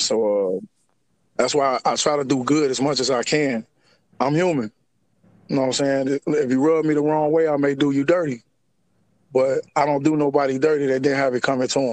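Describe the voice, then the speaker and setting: Pausing long and often yet talking at a fairly quick pace, a man with a fairly high voice keeps his intonation fairly even. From Chicago area, Harvey, Illinois. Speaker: formerly incarcerated man. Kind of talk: interview.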